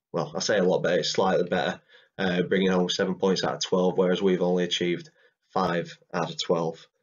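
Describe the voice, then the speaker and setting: Here is a man with an English accent. He speaks at a fairly quick pace. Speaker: football fan vlogger. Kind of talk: casual match preview talk to camera.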